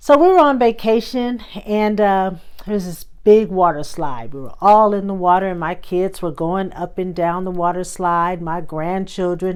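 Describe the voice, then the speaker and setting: A woman's medium-pitched voice at a moderate pace, with ordinary pitch variation and big swings in loudness. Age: 60s. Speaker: lifestyle vlogger. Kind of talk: casual storytelling monologue. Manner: animated.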